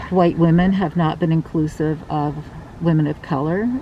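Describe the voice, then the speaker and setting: A woman with a fairly low voice keeps her intonation fairly even, noticeable background noise behind her. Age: 60s. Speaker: mayoral candidate. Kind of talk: street interview.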